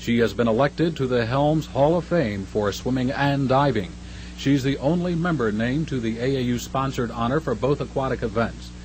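Moving at a moderate pace, a man speaks in an ordinary speaking voice with a medium pitch and ordinary pitch variation. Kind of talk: newsreel narration. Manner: brisk, formal, upbeat announcer delivery; polished mid-century newsreel cadence.

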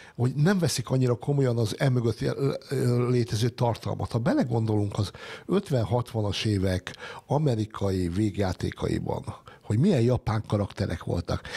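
Somewhat breathy and dark, mellow in tone, a man speaks at a moderate pace and medium pitch with ordinary pitch variation. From Hungary. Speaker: science editor and writer. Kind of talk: panel discussion. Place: studio. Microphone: studio mic.

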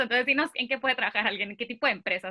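A woman's high, raised and projected voice, bright and sharp in tone, over a quiet background. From Mexico, Mexicali; Mexico. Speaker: vocational guidance YouTuber. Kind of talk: interview. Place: home room. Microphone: earbuds.

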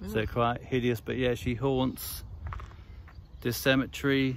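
Over light background noise, a man speaks in a dry sound with no echo and monotone, flat intonation. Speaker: ghost-hunting vlogger. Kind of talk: casual vlog chat. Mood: light, joking. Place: open country. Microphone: phone near.

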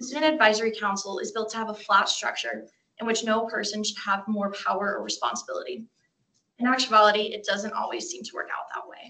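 A woman talks very fast in a fairly high pitch, with vocal fry and ordinary pitch variation. Her tone is bright and sharp, and her loudness swings widely. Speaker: student council member. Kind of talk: candidate speech. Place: meeting room. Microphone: camera far.

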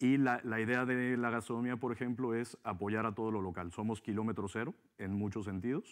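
A plain, everyday voice from a man, medium in pitch and fairly quick, with fairly even intonation over a quiet background. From Mexico. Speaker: hotel businessman; interview guest. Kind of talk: interview. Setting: TV studio. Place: studio. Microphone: lapel.

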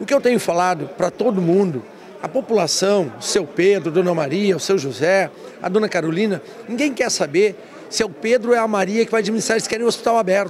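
A man talks at a very fast pace with a high pitch and ordinary pitch variation. Light background noise is present. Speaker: city councillor. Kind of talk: news interview. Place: hall. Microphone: handheld.

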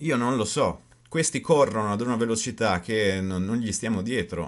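A man talks with lively intonation, and the background is quiet. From Italy. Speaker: video blogger and author. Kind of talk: angry rant, conspiracy-minded monologue to camera. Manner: indignant, increasingly heated, rhetorical questions, emphatic. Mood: indignant, critical. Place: home room. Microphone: webcam.

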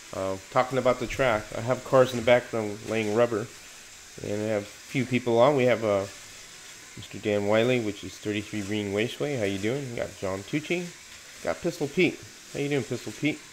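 Light background noise is present. Over it, a man speaks at a moderate pace with ordinary pitch variation. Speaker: hobby livestream host. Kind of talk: casual livestream chat. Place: home room.

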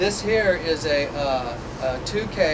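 A man with ordinary pitch variation against loud background noise. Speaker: tour guide at film school. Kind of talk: guided tour explanation. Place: booth. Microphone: camera far.

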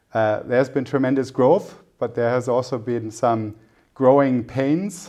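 A man with a dark, mellow tone speaks at a medium pitch with ordinary pitch variation over a quiet background. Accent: German. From Germany. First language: German. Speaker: private equity executive; interviewee. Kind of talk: interview. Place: studio. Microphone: lapel.

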